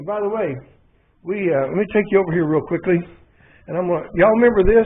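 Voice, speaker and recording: A man is speaking here. His voice has ordinary pitch variation and an Arkansas accent. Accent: Southern US (Arkansas). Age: 70s. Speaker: motorcycle mechanic YouTuber. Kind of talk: casual workshop vlog. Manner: animated.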